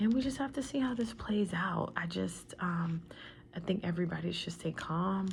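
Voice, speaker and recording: A soft-spoken woman with an American accent talks at a moderate pace, her fairly low pitch carrying vocal fry and lively intonation. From Washington DC area. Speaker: tarot reader. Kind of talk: tarot reading. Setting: at home.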